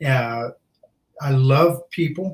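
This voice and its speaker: This man's voice is fairly high and somewhat breathy. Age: 60s. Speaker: junk removal business owner. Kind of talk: podcast interview.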